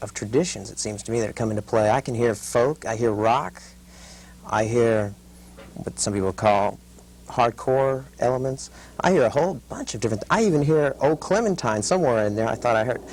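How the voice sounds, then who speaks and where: At a fairly quick pace, a man talks in a plain, everyday voice with medium pitch and ordinary pitch variation. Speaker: radio interview host. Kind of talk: interview question.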